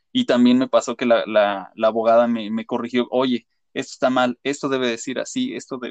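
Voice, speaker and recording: In a Mexican accent, the speaker talks at a fairly quick pace with monotone, flat intonation and big swings in loudness, in a dry, close sound with no echo. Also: man, medium pitch for a man. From Mexico. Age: 30s. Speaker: graphic designer, immigrant. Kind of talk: casual interview.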